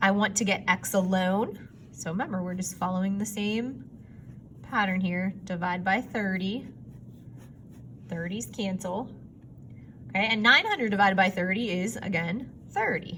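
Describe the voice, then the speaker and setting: Over noticeable background noise, a woman at a medium pitch talks at a moderate pace with ordinary pitch variation and long, frequent pauses. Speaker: math teacher. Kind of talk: recorded lesson for students.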